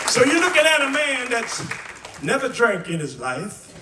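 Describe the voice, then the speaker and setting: A man's raised, projected voice with very wide pitch swings, audible room echo and noticeable background noise. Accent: American. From West Virginia, US. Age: 80s+. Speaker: singer and guitarist. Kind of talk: storytelling testimony to a live audience.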